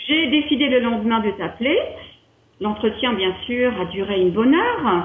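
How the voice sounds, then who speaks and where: A woman speaks at a fairly slow pace with an Alsatian accent. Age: 50s. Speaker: wellness entrepreneur, training client. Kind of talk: interview testimony.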